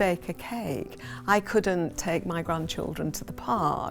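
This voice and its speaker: Over music in the background, a woman speaks at a fairly low pitch with ordinary pitch variation. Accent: Yorkshire. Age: 60s. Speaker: patient. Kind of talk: testimony.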